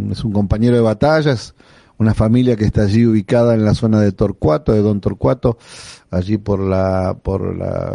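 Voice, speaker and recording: A man's dark, mellow tone in a dry, close sound with no echo. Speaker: pastor and radio host. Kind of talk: radio devotional and interview.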